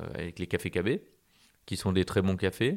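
Speech at a moderate pace with ordinary pitch variation, captured in a very clean recording against a silent background. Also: man. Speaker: podcast host. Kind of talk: interview.

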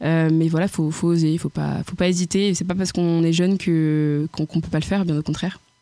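Her fairly low voice moves at a fairly quick pace, the woman holding very even loudness and a monotone, flat intonation. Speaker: agriculture student and farmer. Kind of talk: interview. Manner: hesitant, many fillers.

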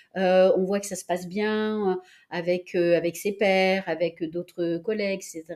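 A woman speaks very slowly at a medium pitch with monotone, flat intonation. Her loudness swings widely. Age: 60s. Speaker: professional coach. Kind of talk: interview.

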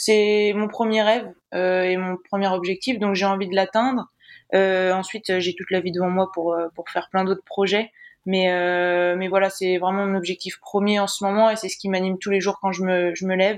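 In a quiet background, a woman speaks at a moderate pace. Her medium-pitched voice stays flat and monotone. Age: 20s. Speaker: Olympic sailor. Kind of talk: interview.

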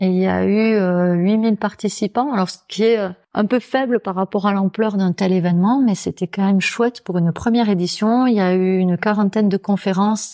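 Her voice has a dark, mellow tone, and this woman keeps her intonation fairly even. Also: dry, close sound with no echo. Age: 40s. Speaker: naturopath and author. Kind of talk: interview. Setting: naturopath's office.

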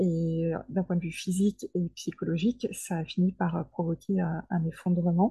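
The sound is dry and close with no echo as a woman speaks in a dark, mellow, somewhat breathy tone with fairly even intonation. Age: 40s. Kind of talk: interview testimony. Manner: hesitant, with fillers and repetitions.

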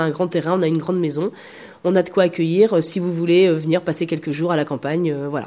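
A woman speaks at a fairly quick pace in a fairly low, dark and mellow voice. Her intonation stays fairly even. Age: 30s. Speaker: temp postal worker and community space founder. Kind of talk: interview. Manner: hesitant.

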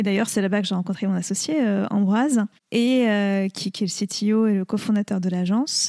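Recorded very cleanly against a silent background, a woman talks at a moderate pace in a dark, mellow tone, with very even loudness and fairly even intonation. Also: dry, close sound with no echo. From France, Lyon. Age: young. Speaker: social entrepreneur. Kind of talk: interview conversation.

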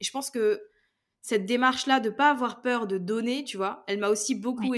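The recording is very clean, with a silent background. A woman speaks at a fairly quick pace with ordinary pitch variation. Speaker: podcasting trainer. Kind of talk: interview. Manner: smiling tone; casual, animated.

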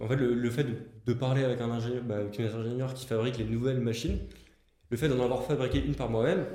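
Someone talks at a fairly quick pace, with audible echo from the room. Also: man. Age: 20s. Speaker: engineer and start-up founder. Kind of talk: interview podcast.

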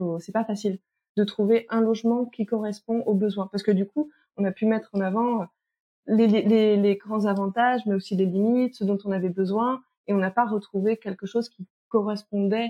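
In a dry, close sound with no echo, a woman with a medium pitch and dark, mellow tone speaks at a moderate pace in a monotone, flat way. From France, moved a lot, partly French Guiana. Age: 30s. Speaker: sexologist and teacher. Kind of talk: testimony. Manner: hesitant, many fillers.

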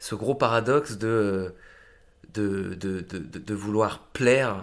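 His pitch shows ordinary variation. A man talks with a fairly low voice. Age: 30s. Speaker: actor and musician. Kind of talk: casual interview. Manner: halting, many fillers.

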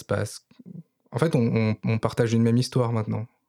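Heard on a very clean recording with a silent background, a man speaks with a dark, mellow tone at a medium pitch. His moderate pace comes through in a dry, close sound with no echo. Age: 30s. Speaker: nurse. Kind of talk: testimony. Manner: halting.

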